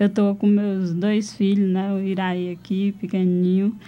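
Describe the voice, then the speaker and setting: Medium pitch from a female speaker, intonation monotone and flat. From Brazil, Ceará sertão (Pentecoste). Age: 20s. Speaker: rural settler, cultural activist. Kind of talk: radio interview. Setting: radio studio.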